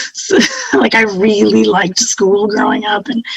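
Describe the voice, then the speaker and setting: A woman speaks at a moderate pace. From Nova Scotia, Canada (East Preston). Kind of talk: podcast interview. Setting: video call.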